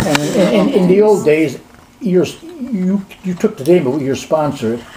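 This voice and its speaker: Over noticeable background noise, a man speaks at a fairly slow pace in a high voice with very wide pitch swings. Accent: American. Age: 80s+. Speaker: amateur genealogist. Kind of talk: casual conversation with family.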